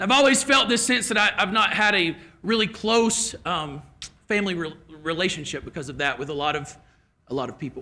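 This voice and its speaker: In a Kentucky accent, a man speaks at a high pitch with a bright, sharp tone and a raised, projected voice. His pitch swings very widely at a fairly quick pace. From Kentucky, Lexington area. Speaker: keynote speaker. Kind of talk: keynote speech with personal story.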